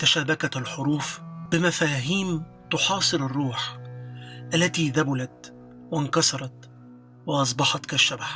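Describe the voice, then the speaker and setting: A man with a fairly high pitch talks at a very slow pace, with long, frequent pauses and fairly even intonation. His loudness stays very even while music plays in the background. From Egypt. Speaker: voice actor. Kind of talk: audiobook narration.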